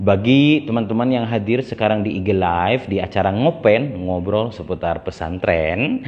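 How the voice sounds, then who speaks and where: Fairly low male voice at a moderate pace, hardly any pauses, ordinary pitch variation, and noticeable background noise. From West Java, Indonesia (Tasikmalaya). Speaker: Islamic boarding school teacher and live-stream host. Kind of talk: live-stream hosting. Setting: Instagram Live broadcast. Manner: animated.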